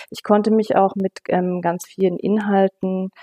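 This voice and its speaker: Speaking fairly slowly, a woman with a dark, mellow tone and medium pitch keeps her intonation fairly even, recorded dry and close with no echo. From West Germany. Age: 50s. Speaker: city councillor and teacher. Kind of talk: interview. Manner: hesitant, many fillers.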